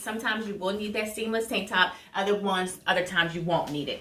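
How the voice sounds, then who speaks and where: A woman speaks at a very fast pace with ordinary pitch variation. Audible room echo and noticeable background noise surround her voice. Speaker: vlogger sharing surgery recovery tips. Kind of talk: casual tutorial vlog.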